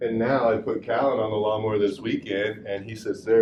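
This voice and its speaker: A man with a Southern US accent sounds somewhat breathy, with audible room echo around his voice. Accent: hillbilly accent, slips out. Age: 40s. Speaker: fitness and rehab coach. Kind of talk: lecture.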